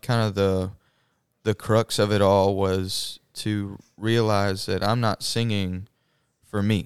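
A voice with a Southern US accent speaks at a very slow pace with monotone, flat intonation. The recording is very clean with a silent background and a dry, close sound with no echo. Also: man. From Mississippi. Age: 20s. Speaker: nursing student and church worship singer. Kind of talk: casual interview.

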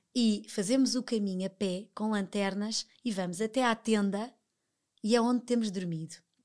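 Speaking at a moderate pace, a woman has an ordinary speaking voice with fairly high pitch and fairly even intonation. The recording is very clean, with a silent background. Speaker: television professional. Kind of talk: casual interview chat.

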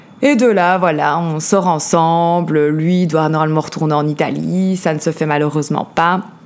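A woman with a Belgian accent, very deep and low in pitch, at a moderate pace with fairly even intonation and hardly any pauses. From Belgium, Liège. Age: 30s. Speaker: podcast host, life coach. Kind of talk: personal testimony. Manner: hesitant, many fillers.

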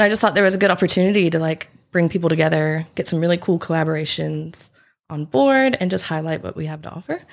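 With a Southern US accent, the voice moves at a very fast pace and ordinary pitch variation on a very clean recording with a silent background. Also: woman, fairly low pitch for a woman. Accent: Southern American. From South Carolina, US South. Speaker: festival organiser. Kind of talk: casual chat.

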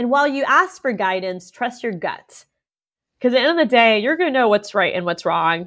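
A woman with an American accent speaks fairly quickly in a plain, everyday voice. Her intonation is lively. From Orlando, Florida. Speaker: state legislator. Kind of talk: interview.

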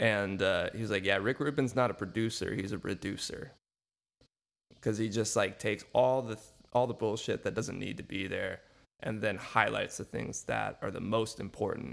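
A man speaks with vocal fry at a fairly low pitch. His pace is moderate and his intonation fairly even. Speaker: podcast host and music teacher. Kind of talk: casual interview chat.

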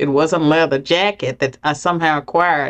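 An American accent marks this woman's ordinary speaking voice, fairly low in pitch with ordinary pitch variation. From US South, rural southwestern Virginia. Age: 60s. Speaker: political scientist, former professor. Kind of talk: interview.

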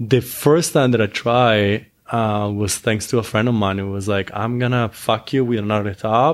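A man with an Italian accent, medium pitch, moderate pace and fairly even intonation, on a very clean recording with a silent background. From Italy. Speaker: adult film performer. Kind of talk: casual interview.

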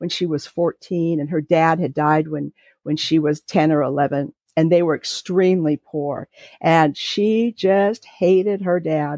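A woman with a West Coast US accent speaks at a fairly slow pace. The sound is dry and close with no echo, over a quiet background. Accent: General American (West Coast). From California. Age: 60s. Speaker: podcast guest sharing family story. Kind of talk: personal testimony.

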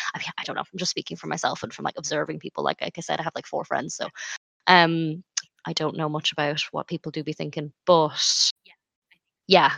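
A woman talks at a fairly quick pace with an Irish accent. The sound is dry and close, with no echo. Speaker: podcast co-host. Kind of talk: casual chat.

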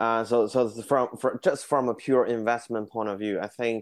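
The voice carries a Chinese accent with fairly even intonation. The background is quiet. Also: man. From China, Beijing. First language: Mandarin Chinese. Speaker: horse racing businessman. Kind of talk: interview. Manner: hesitant, many fillers.

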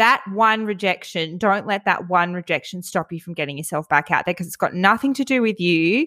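Speaking at a fairly quick pace with hardly any pauses, a woman with an Australian accent has a medium pitch and a bright, sharp tone, in a very clean recording with a silent background and a dry, close sound with no echo. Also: ordinary pitch variation. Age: 30s. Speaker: podcast host. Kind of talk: casual chat.

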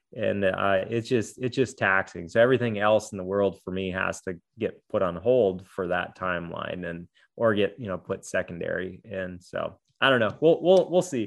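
In an American accent and a normal speaking voice, a man of fairly low pitch talks at a moderate pace with ordinary pitch variation over a quiet background. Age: 40s. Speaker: adaptive athlete. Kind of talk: interview conversation.

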